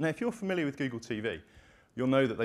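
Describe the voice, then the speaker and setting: A man with a British accent and lively intonation, on a very clean recording with a silent background. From United Kingdom. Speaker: company presenter. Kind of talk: product demo presentation.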